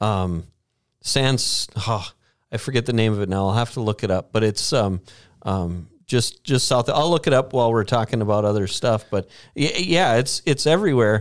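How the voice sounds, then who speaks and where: A man with an Upper Midwest US accent speaks at medium pitch and a moderate pace with lively intonation, captured on a very clean recording with a silent background. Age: 40s. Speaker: podcast host, church staff. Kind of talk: casual chat. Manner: joking, chatty.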